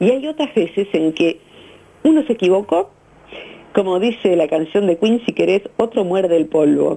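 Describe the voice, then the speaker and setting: Pausing long and often, a woman talks at a moderate pace with lively intonation and very even loudness. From Argentina. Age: 50s. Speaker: psychologist; radio guest. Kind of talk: radio interview. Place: studio.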